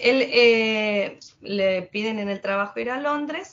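A woman's lively, somewhat breathy voice with a Rioplatense accent. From Argentina, Quilmes (Buenos Aires province). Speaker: English teacher and travel influencer. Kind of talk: interview.

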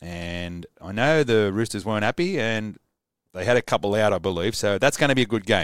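A man with an Australian accent, fairly low in pitch, with lively intonation at a fairly quick pace, in dry, close sound with no echo on a very clean recording with a silent background. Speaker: sports fan livestreamer. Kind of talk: live solo sports preview stream. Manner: casual, enthusiastic.

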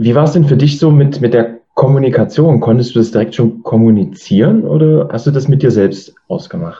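A man talks at a fairly quick pace with hardly any pauses, his medium pitch swinging very widely. His tone is dark and mellow, somewhat breathy. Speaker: podcast host. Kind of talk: interview.

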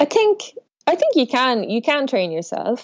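A woman speaks with a western Irish accent. Her pace is moderate. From west of Ireland. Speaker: professional sailor. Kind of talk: casual interview.

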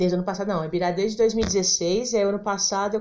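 Her words come out very fast, her intonation staying fairly even throughout. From São Paulo (Penha, East Zone). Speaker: poet and theatre practitioner. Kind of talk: interview conversation.

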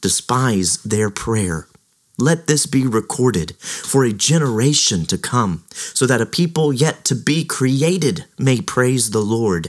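A man with a normal speaking voice talks at a fairly slow pace and medium pitch, his intonation lively and his loudness very even. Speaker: podcast host. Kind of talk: scripture reading; devotional commentary. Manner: solemn, slow, reverent; formal, measured.

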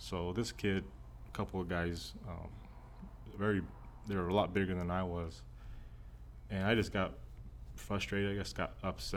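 In an American accent, a man with a very deep, low pitch and vocal fry talks at a moderate pace, with audible room echo. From Texas. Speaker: pastor. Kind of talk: personal testimony. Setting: church offices.

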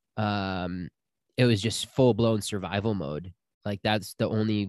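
A man's unremarkable speaking voice, fairly low in pitch, at a moderate pace with fairly even intonation, dry and close with no echo, in a very clean recording against a silent background. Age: 30s. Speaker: spiritual healer and retreat guide. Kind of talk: casual interview.

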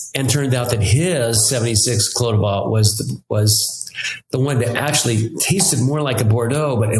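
A man speaks with music playing in the background. The room echo is audible. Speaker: winemaker. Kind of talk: casual chat.

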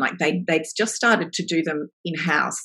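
With an Australian accent, a woman speaks at a moderate pace in a fairly low pitch. Her tone is bright and sharp, and her pitch varies in an ordinary way. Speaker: novelist. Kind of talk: interview.

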